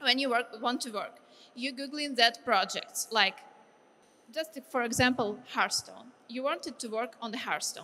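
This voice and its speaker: High-pitched woman with a Ukrainian accent, a bright, sharp tone, ordinary pitch variation and a fairly slow pace. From Ukraine. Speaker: game artist. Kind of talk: lecture. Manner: halting.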